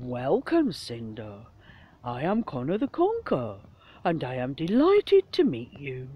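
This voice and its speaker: The speaker uses a put-on character voice with a low-to-middle pitch. The pace is moderate. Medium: read story.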